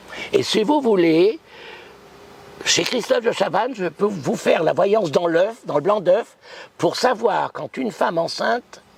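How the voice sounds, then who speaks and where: A man with a high pitch and lively intonation speaks at a fairly slow pace with long, frequent pauses over noticeable background noise. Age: 80s+. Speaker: psychic. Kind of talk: interview storytelling. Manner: animated.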